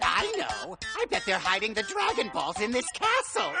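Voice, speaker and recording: Over clear background music, a man does a cartoonish character voice, raised and projected. His pace is moderate. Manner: pompous, excitable, shrill.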